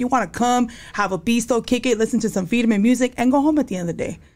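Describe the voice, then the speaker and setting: A woman with a fairly high pitch rattles along at a very fast pace, her pitch varying in an ordinary way amid noticeable background noise. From New Mexico. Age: 40s. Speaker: security worker and tattoo artist. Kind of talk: casual chat. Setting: studio.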